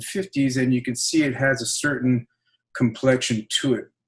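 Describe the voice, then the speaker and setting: The speaker is a man with a medium pitch. His voice is somewhat breathy and his intonation fairly even. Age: 60s. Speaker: professor. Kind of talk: academic panel talk. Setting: live-streamed online panel.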